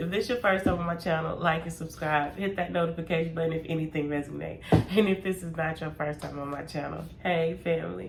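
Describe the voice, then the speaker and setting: Over noticeable background noise and audible room echo, a woman talks at a fairly quick pace. Her pitch is fairly low, her intonation fairly even. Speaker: tarot reader. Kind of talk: casual chat. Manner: mumbling.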